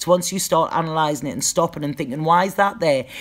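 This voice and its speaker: Very fast speech from a woman with a very deep, low pitch and ordinary pitch variation. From northeast England. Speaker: psychic tarot reader. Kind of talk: live stream Q&A chat. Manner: casual, halting with repetitions.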